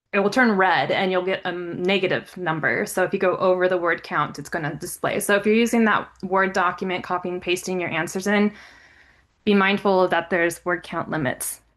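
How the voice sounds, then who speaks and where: Against a quiet background, the speech moves at a fairly quick pace with fairly even intonation. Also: woman, medium pitch for a woman. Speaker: grant specialist giving a software walkthrough. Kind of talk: tutorial. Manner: halting, with fillers and restarts.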